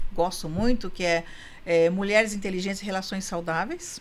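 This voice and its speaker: A woman speaks in an ordinary speaking voice at medium pitch. She keeps a moderate pace. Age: 60s. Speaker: couples therapist and women's coach. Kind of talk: podcast interview.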